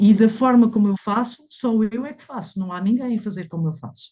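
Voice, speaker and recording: A woman's dark, mellow, somewhat breathy voice at a moderate pace, with ordinary pitch variation and a quiet background. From Mozambique, then Portugal from age 12. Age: 60s. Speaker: massage therapist. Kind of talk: interview conversation. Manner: hesitant, many fillers and repetitions.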